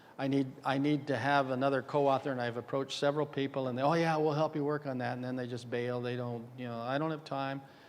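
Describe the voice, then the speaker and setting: Fairly even in intonation, a man speaks at medium pitch. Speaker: dental radiology lecturer. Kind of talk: conference lecture. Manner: fast.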